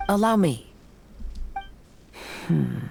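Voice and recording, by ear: A man puts on a cartoonish character voice, high in pitch, with lively intonation at a very slow pace. Vocal fry and a slightly husky edge run through it.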